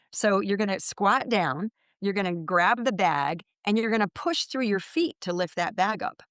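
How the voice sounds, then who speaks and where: At a moderate pace and medium pitch, a woman talks in a normal speaking voice with lively intonation, the sound dry and close with no echo against a quiet background. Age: 60s. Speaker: physical therapist and pain consultant. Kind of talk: interview.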